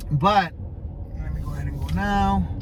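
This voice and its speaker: At a fairly slow pace, a man speaks as noticeable background noise carries on. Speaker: ecommerce coach vlogger. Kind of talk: casual vlog monologue. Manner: loud; rambling, halting.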